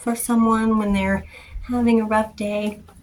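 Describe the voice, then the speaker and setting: The speaker is soft-spoken and talks at a fairly slow pace. Noticeable background noise sits behind the voice. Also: woman. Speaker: art content creator. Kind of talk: casual vlog talk to camera. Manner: hesitant, many fillers.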